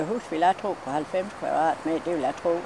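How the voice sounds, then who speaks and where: A woman speaks with a West Jutland accent at medium pitch. Her pace is moderate, and noticeable background noise is present. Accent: West Jutlandic dialect. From West Jutland, Denmark. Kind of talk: interview answer.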